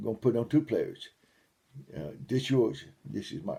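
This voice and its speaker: A dark, mellow tone with vocal fry and very wide pitch swings. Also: man. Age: 70s. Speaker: lay preacher. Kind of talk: sermon.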